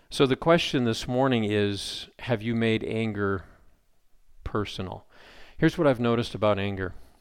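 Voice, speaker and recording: On a very clean recording with a silent background, a man at a medium pitch speaks at a moderate pace, with ordinary pitch variation and long, frequent pauses. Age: 50s. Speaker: pastor. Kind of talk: sermon. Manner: animated.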